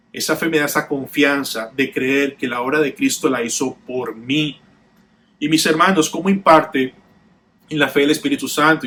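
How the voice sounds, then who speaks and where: A man talks in an unremarkable speaking voice. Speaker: pastor. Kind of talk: sermon.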